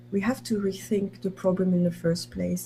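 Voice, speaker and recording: At a moderate pace, a woman talks in a fairly low pitch with ordinary variation. Her tone is dark and mellow, and somewhat breathy. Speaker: university professor. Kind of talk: conference talk.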